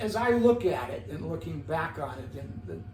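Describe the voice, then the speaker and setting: A man talks at a moderate pace, with audible room echo around his voice. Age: 70s. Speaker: podcast guest, older man in recovery. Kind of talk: interview. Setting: in host's home.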